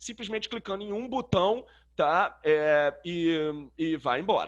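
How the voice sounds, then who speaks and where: A man's voice with ordinary pitch variation, at a fairly slow pace. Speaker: systems analyst teaching a webinar. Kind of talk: tutorial. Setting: webinar. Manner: casual, many filler words.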